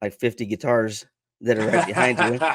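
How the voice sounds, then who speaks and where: Talking at a very fast pace with an Idaho accent and ordinary pitch variation, the speaker is heard in a dry, close sound with no echo on a very clean recording with a silent background. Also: man. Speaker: interview show host. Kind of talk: interview. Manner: casual.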